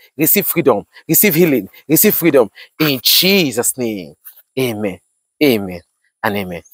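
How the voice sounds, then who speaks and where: Recorded with a dry sound and no echo, a man speaks against a quiet background. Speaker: pastor. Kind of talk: fervent repetitive prayer, declaring blessings over viewers. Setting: outdoors, walking while filming. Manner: urgent, exhortatory commands. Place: open country.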